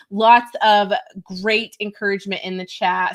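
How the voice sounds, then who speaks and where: The delivery is animated in tone and comes at a fairly slow pace. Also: woman. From US, West Texas. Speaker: webinar host. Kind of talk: live webinar chat.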